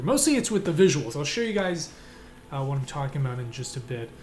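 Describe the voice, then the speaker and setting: Over noticeable background noise and audible room echo, a man speaks in a fairly high pitch with lively intonation. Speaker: indie game developer and streamer. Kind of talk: live stream commentary while working. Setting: live stream from home desk. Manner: hesitant, many repeats and fillers.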